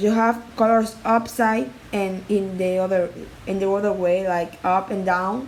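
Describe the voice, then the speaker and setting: A woman with a non-native accent, at a very slow pace, amid audible room echo. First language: not English. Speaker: art tutorial creator. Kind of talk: tutorial. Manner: halting.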